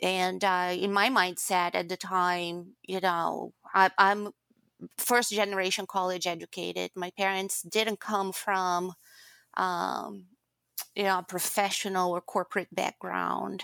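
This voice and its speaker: A woman speaks with a Brazilian accent at a fairly slow pace, her tone bright and sharp and her intonation monotone and flat. The sound is dry and close with no echo, on a very clean recording with a silent background. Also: medium pitch for a woman. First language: Portuguese. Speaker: guest, former HR executive. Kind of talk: casual interview conversation.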